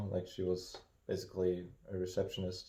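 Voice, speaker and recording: Very deep and low, a man's voice comes through in a dark, mellow tone. He is somewhat breathy and keeps a moderate pace. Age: 30s. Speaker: podcast co-host. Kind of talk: casual chat.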